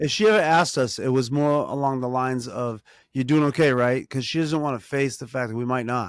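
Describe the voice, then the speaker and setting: A man with an American accent uses an ordinary speaking voice at a medium pitch with ordinary pitch variation and a fairly quick pace. The recording is very clean, with a silent background. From Boston, Massachusetts. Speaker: podcast co-host. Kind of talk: casual chat.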